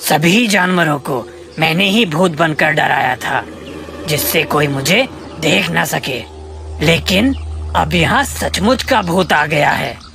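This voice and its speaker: Clear music plays in the background as a man speaks in a cartoonish character voice. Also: fairly high pitch for a man, moderate pace. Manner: scary then cowed.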